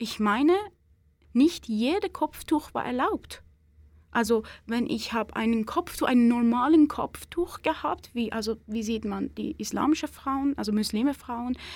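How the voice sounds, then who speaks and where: A woman with a Persian accent speaks with ordinary pitch variation. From Iran. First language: Persian (speaking German). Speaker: Iranian women's rights activist. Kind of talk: interview. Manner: halting.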